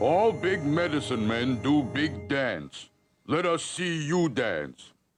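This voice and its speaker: A man's cartoonish character voice, fairly high in pitch and fairly slow in pace, over faint music in the background. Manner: broken clipped speech.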